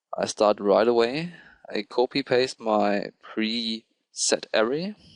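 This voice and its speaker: A man with a non-native accent speaks very slowly at medium pitch with ordinary variation, the sound dry and close with no echo against a quiet background. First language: not English. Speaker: programming tutorial creator. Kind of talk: tutorial. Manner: hesitant, with filler ums.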